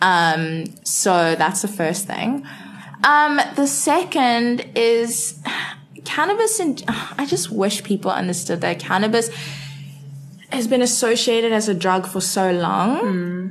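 Amid noticeable background noise and audible room echo, a woman at a medium pitch speaks at a very slow pace with lively intonation. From South Africa, Cape Town. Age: 20s. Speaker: marketing intern. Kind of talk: casual interview.

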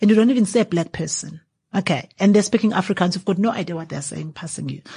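A woman's somewhat breathy voice with a dark, mellow tone and fairly even intonation, over a quiet background. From KwaZulu-Natal, South Africa. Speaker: winemaker and entrepreneur. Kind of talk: interview. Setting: 28th-floor venue at a business forum.

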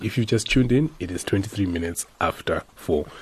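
With a fairly low pitch and lively intonation, a man speaks at a moderate pace in a somewhat breathy voice. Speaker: radio host. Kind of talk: radio talk show.

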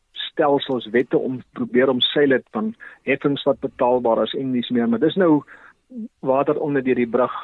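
An unremarkable speaking voice delivers its words with fairly even intonation. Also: man. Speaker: agricultural economist. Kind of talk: radio interview.

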